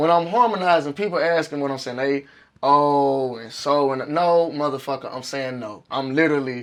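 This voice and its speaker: Talking at a moderate pace, a man with a fairly high pitch shows big swings in loudness and ordinary pitch variation. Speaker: rapper. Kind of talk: casual interview. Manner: animated.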